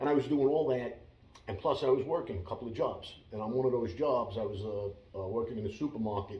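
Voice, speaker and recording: A man talks at a very fast pace in a medium-pitched, somewhat breathy voice. His pitch varies in an ordinary way. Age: 60s. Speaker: former mobster and martial arts instructor. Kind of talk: interview. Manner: halting.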